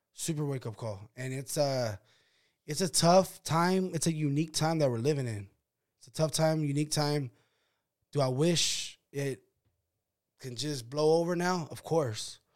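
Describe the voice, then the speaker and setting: An American-accented voice at a moderate pace with ordinary pitch variation, big swings in loudness and long, frequent pauses, recorded very cleanly against a silent background. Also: man, fairly high pitch for a man. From Sacramento, California. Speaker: boxing podcast host. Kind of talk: casual chat.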